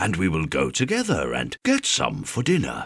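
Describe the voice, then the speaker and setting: A man speaks at a fairly slow pace in a dry, close sound with no echo, on a very clean recording with a silent background. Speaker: bedtime story narrator. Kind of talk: sleep story reading for kids. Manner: calm, relaxing.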